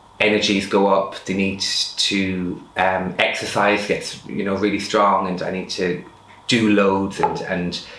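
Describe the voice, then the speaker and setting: Through noticeable background noise and audible room echo, a man speaks with an Irish accent. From rural Ireland. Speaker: person sharing lived experience of bipolar. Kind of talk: personal testimony interview. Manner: fast.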